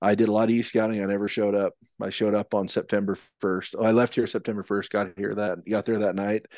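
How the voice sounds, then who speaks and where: Over a quiet background, a man speaks very fast in a fairly low, monotone voice, the sound dry and close with no echo. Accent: American. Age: 40s. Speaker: elk hunter. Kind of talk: casual chat.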